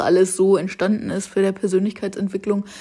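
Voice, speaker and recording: A woman's very fast speech at a medium pitch. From western Germany (North Rhine-Westphalia). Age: 20s. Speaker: travel influencer and podcaster. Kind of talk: casual monologue. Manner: chatty, with frequent slips and fillers.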